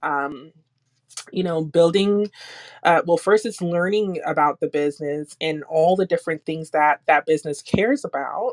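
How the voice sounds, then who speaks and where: A woman talks at a moderate pace in a fairly low pitch, with a plain, everyday voice and ordinary pitch variation. The sound is dry and close, with no echo. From Jamaica, moved to US when young. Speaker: security engineer and nonprofit founder. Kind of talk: panel interview. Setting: audio chat room.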